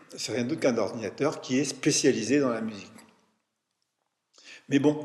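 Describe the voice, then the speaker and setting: With fairly even intonation, a man speaks amid audible room echo. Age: 70s. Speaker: retired musician and music teacher, long-time meditation practitioner. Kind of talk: casual interview. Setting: recorded on location at a retreat centre in France. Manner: halting, with frequent repetitions and fillers.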